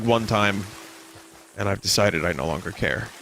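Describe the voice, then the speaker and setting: A man speaks at a very fast pace. Noticeable background noise sits behind him. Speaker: video game streamer. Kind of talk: live gameplay commentary. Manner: low energy.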